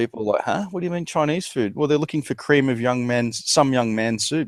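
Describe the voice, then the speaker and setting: A medium-pitched man with an Australian accent. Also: ordinary pitch variation, fairly quick pace. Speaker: channel host, conspiracy discussion. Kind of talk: casual chat.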